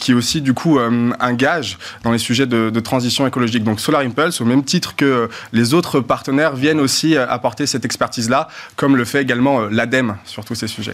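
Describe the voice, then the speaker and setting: A man talks at a fairly quick pace in a normal speaking voice, his pitch medium and his intonation fairly even. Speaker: tech company partnerships director. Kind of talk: debate panel discussion.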